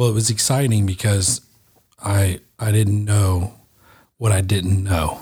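A man speaks at a fairly slow pace in a fairly low pitch, his dark, mellow tone somewhat breathy, with fairly even intonation, very even loudness, and long, frequent pauses. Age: 40s. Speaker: podcast host, garage door company owner. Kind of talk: podcast interview. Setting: studio.

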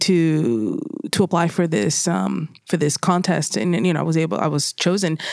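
An ordinary speaking voice from a woman, fairly low in pitch, at a moderate pace, in a very clean recording with a silent background. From Puerto Rico, then San Fernando Valley, California. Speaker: documentary photographer. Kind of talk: interview conversation.

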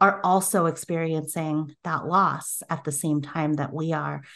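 A woman with an American accent has an unremarkable speaking voice, speaking at a fairly slow pace with ordinary pitch variation against a quiet background. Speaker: podcast host and counseling agency founder. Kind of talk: casual interview chat. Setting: office studio.

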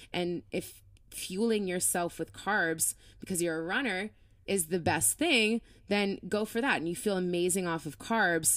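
A woman speaks in an ordinary speaking voice with an American accent. Her pitch is fairly low with ordinary variation, at a moderate pace. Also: very clean recording, silent background. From Florida. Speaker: fitness and running coach. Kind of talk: casual interview.

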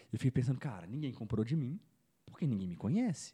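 A man's somewhat breathy, dark, mellow voice at medium pitch, with very wide pitch swings and a fairly quick pace, in a dry, close sound with no echo. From Belo Horizonte, Brazil. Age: 20s. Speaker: digital marketing entrepreneur. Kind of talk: casual interview chat.

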